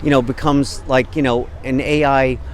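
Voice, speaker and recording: A fairly high-pitched man amid noticeable background noise. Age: 60s. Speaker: protester. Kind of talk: casual interview. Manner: halting, many fillers.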